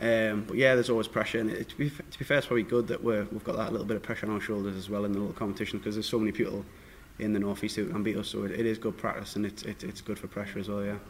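Noticeable background noise sits behind a man with a fairly low pitch. He talks at a very fast pace with fairly even intonation. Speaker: professional darts player. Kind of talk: press conference interview.

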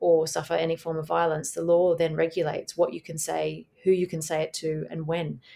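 Here a woman speaks with an Australian accent at a fairly quick pace. Her pitch is fairly low. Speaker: barrister. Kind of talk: interview.

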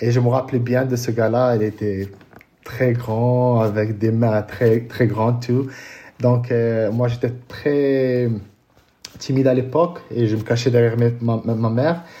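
A man with a dark, mellow tone and fairly even intonation speaks at a very slow pace with long, frequent pauses. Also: medium pitch for a man. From Morocco, Casablanca. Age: 30s. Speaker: paralympic triathlete. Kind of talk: interview. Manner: halting, many repetitions.

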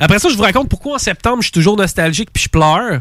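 A man talks at a very fast pace with a Quebec accent, in a high pitch and an animated tone. The sound is dry and close, with no echo. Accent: Québécois French. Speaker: podcast host. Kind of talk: casual chat. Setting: studio.

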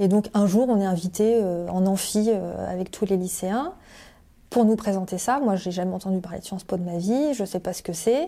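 A woman's dark, mellow voice at medium pitch, moderate in pace with ordinary pitch variation, on a very clean recording with a silent background. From France (Paris area, La Rochelle). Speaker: career change coach. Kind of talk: interview testimony. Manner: hesitant, many fillers.

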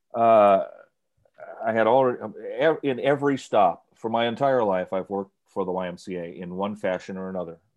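A man with a plain, everyday voice speaks fairly quickly at a fairly low pitch with ordinary pitch variation. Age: 60s. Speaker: sports radio announcer. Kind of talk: interview.

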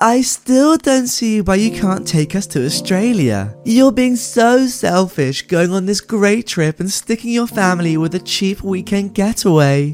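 A whiny, put-on character voice at middle pitch and a moderate pace, whiny in tone, with hardly any pauses and clear music in the background. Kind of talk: nagging. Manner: annoying, whiny, entitled.

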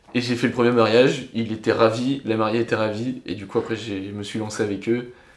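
A man of medium pitch talks at a fairly quick pace in a monotone, flat way. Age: 20s. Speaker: DJ. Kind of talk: casual chat.

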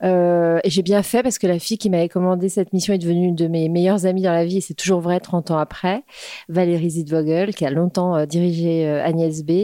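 This woman talks at a fairly low pitch and a fairly quick pace, her intonation fairly even. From Paris suburbs (Créteil). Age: 50s. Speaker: entrepreneur, grocery founder. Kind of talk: casual interview. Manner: hesitant with fillers.

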